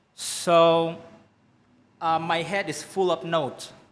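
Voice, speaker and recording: Someone talks at a very slow pace with an Indonesian accent. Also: man. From Indonesia, Bangka Island. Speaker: singer-songwriter. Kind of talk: interview. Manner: halting, many fillers and restarts.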